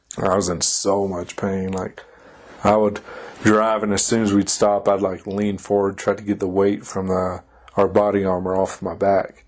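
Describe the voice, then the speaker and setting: At a moderate pace, a man speaks in a fairly low pitch with monotone, flat intonation, and background noise is noticeable. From Kentucky. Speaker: army soldier. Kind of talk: casual chat.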